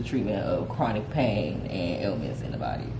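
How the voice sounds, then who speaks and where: Noticeable background noise and audible room echo around a woman speaking. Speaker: cannabis vlogger. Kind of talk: casual explainer reading study excerpts. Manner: fast.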